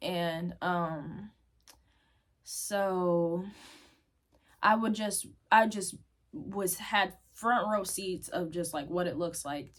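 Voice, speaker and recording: A woman with a fairly low pitch and ordinary pitch variation. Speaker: video blogger sharing personal testimony. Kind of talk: personal testimony. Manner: halting, many fillers.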